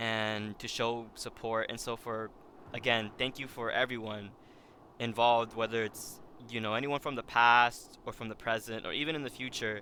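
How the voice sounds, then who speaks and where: A man speaks at a moderate pace in a medium pitch, his bright, sharp tone held to a flat, monotone intonation. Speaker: streamer. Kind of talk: casual chat. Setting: live stream while gaming. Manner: subdued, low-energy; halting, many fillers.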